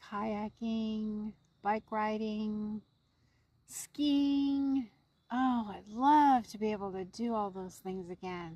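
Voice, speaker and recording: A woman speaks very slowly in a relaxed tone, her voice fairly high-pitched, somewhat breathy, dark and mellow. Her loudness swings widely while her pitch varies in an ordinary way. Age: 60s. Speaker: camping vlogger. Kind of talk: casual vlog talk to camera. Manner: relaxed, conversational.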